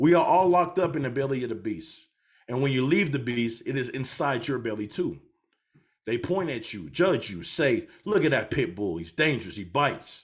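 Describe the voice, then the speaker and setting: Speaking at a moderate pace and medium pitch, a man uses an intense tone with very wide pitch swings and vocal fry on a very clean recording with a silent background. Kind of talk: dramatic monologue reading. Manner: intense, impassioned.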